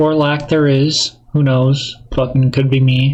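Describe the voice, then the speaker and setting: A soft-spoken man talks at a very slow pace with fairly high pitch. His voice is somewhat breathy, with monotone, flat intonation. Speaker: solo podcaster. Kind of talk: casual monologue. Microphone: echoey mic.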